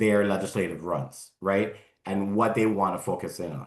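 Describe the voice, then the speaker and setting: Using a plain, everyday voice, a man with an American accent speaks at a moderate pace, fairly low in pitch and with fairly even intonation. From Miami, Florida. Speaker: environmental group legislative director. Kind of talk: Q&A after a talk.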